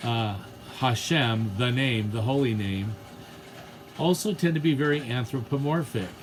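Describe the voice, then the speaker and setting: Audible room echo and background music surround a man speaking at a fairly slow pace. His pitch is medium, with ordinary variation. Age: 60s. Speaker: theology teacher. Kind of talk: lecture. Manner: halting.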